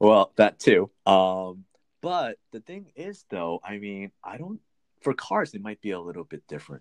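In a dry, close sound with no echo, a man with a fairly low voice speaks at a fairly slow pace, his pitch swinging very widely and his loudness shifting a lot, with long, frequent pauses. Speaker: podcast co-host. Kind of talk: casual chat.

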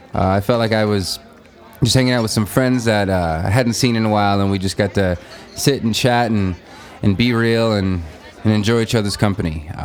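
A fairly low-pitched man with an American accent and ordinary pitch variation, amid noticeable background noise. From western Nebraska Sandhills. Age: 30s. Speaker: podcast host and musician. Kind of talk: casual chat; podcast intro monologue.

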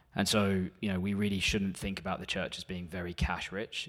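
A man with a British accent talks at a fairly quick pace. His intonation is monotone and flat. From UK. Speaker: church warden. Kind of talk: church presentation. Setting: church.

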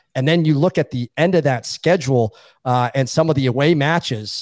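A man with a fairly high pitch and a normal speaking voice talks fairly quickly with ordinary pitch variation, recorded very cleanly against a silent background in a dry, close sound with no echo. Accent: American. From Boston. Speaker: sports betting analyst. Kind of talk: casual chat.

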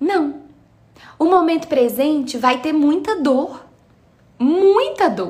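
A woman with a Minas Gerais accent and high pitch, lively intonation, a very slow pace with long, frequent pauses, and audible room echo. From Minas Gerais, Brazil. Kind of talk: live stream talk on faith and meditation. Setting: live video stream.

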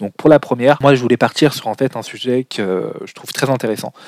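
Here a man speaks in an unremarkable speaking voice at medium pitch with ordinary pitch variation. His pace is fairly slow, and the sound is dry and close with no echo. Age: 20s. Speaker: business podcast host. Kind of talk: solo podcast monologue.

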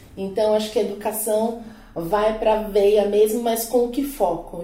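A woman talks at a moderate pace in a fairly high voice. Noticeable background noise and audible room echo surround her. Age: 30s. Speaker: psychologist and career coach. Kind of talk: casual panel discussion.

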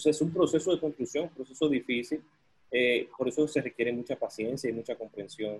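Somewhat breathy, this man's voice moves with ordinary pitch variation. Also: medium pitch for a man, fairly quick pace. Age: 30s. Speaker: entrepreneur and consultant. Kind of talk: podcast interview.

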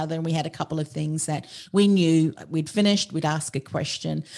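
A woman with an Australian accent, a moderate pace and ordinary pitch variation. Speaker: podcast strategist and business coach. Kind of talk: interview conversation.

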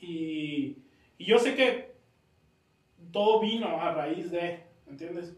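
A man's very slow, high-pitched speech with lively intonation, long and frequent pauses, and audible room echo. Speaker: podcast host. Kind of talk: casual interview chat.

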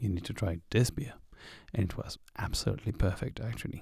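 A quiet, somewhat breathy man at a fairly quick pace, fairly low in pitch, with a dark, mellow tone, ordinary pitch variation, and a very clean recording with a silent background. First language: French. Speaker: hiker vlogger. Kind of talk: audio diary. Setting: in a tent at a campground.

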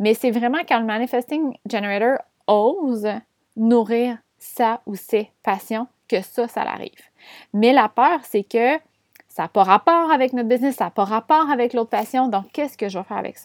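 A woman with a Quebec accent, fairly high-pitched and animated in tone, in a dry, close sound with no echo and a very clean recording with a silent background. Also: ordinary pitch variation, moderate pace. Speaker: podcast host, business and astrology coach. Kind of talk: casual solo monologue. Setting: room with windows open. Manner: animated, frequent laughs.

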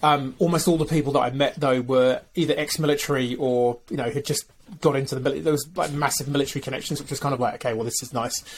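A somewhat breathy man, fairly high in pitch, at a very fast pace with fairly even intonation. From UK. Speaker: B Corp consultant. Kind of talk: casual interview.

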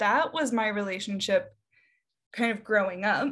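With a Midwestern American accent, a woman talks at a medium pitch. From US Midwest, Davenport, Iowa. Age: 30s. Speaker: copywriter. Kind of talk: casual chat.

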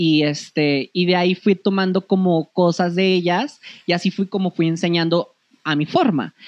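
Speech unfolds at a moderate pace with ordinary pitch variation and very even loudness. The background is quiet. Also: man, high pitch for a man. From Comarca Lagunera, northern Mexico. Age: 30s. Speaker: modeling academy owner. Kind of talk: casual interview.

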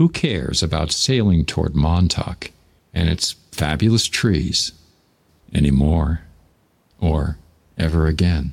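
A man with a very deep, low pitch speaks at very even loudness, pausing long and often. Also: ordinary pitch variation, fairly slow pace. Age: 70s. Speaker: podcaster. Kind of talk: personal storytelling monologue.

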